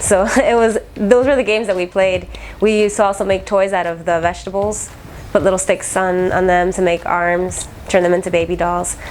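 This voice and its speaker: At a moderate pace and with fairly even intonation, the speaker talks over noticeable background noise. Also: woman. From Nicaragua, then Miami. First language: Spanish. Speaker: military veteran. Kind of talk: interview testimony.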